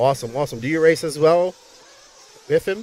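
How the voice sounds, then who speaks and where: A man speaks with a Bermudian accent. Noticeable background noise runs behind him. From Bermuda. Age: 50s. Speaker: race commentator. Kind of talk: live commentary. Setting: outdoor racetrack livestream. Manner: animated.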